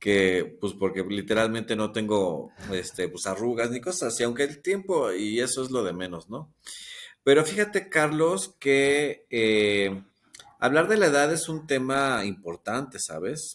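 On a very clean recording with a silent background, a man speaks at a medium pitch. His pace is fairly slow and his pitch swings very widely. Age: 50s. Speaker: TikTok creator and psychotherapy student. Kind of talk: casual interview conversation.

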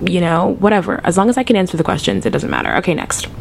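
Noticeable background noise fills the clip. A woman speaks in an animated tone. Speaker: podcast host. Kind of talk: casual chat.

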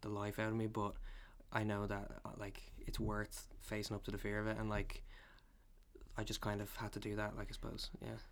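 A moderate pace with a Dublin accent. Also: man. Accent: Dublin Irish. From Ireland, Dublin. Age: 20s. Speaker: photographer. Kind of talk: casual interview.

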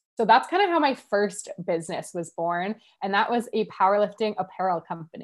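A woman speaks with a Canadian accent at a medium pitch. It is a plain, everyday voice with lively intonation. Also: fairly quick pace. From Canada, Ottawa. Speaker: business coach. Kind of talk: podcast interview.

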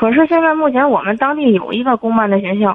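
A woman talks with a high pitch at a moderate speed. Her intonation sounds lively. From Tianjin, China. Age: 30s. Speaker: caller. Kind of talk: call-in advice conversation. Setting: phone call. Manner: halting.

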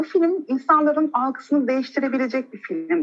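A woman talks at a moderate pace. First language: not English (Turkish) (speaking Turkish). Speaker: podcast host, genetics student. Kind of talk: casual chat.

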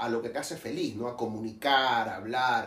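A man talks, and audible room echo surrounds his voice. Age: 40s. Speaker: podcast host. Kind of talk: casual interview. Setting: wine store.

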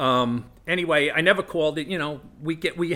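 A bright, sharp tone in a New York accent, with ordinary pitch variation, on a very clean recording with a silent background. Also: man. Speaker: recovering alcoholic, former firefighter. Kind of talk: testimony.

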